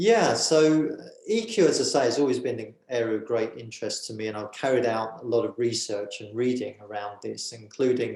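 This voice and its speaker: A man of medium pitch speaks fairly quickly in a British accent, with ordinary pitch variation and big swings in loudness. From England, just north of London. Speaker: author and governance consultant. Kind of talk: interview. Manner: hesitant, many fillers.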